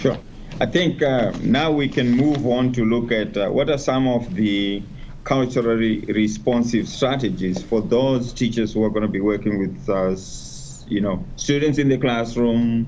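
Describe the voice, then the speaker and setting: A man talks at a fairly slow pace. Room echo can be heard. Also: medium pitch for a man, ordinary pitch variation. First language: not English (English is fourth language). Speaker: education specialist. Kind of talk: panel discussion.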